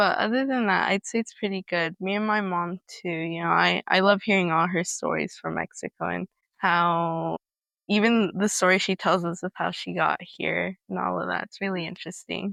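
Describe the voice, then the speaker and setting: A woman speaks with a Spanish accent over a quiet background. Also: moderate pace, dry, close sound with no echo. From California, US. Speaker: interviewee sharing family immigration story. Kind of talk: interview testimony. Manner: casual, hesitant with fillers.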